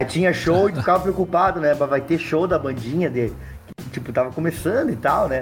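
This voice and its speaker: A fairly high-pitched man at a fairly quick pace, with music in the background. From southern Brazil, Serra Gaúcha. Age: 40s. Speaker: musician. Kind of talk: casual chat.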